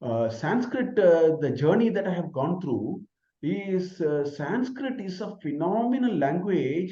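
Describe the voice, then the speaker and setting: A man with a Tamil accent speaks at a high pitch and a moderate pace. His tone is dark and mellow, with very wide pitch swings. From Tamil Nadu, India (village). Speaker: professor. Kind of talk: Q&A answer in online lecture. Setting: online video session.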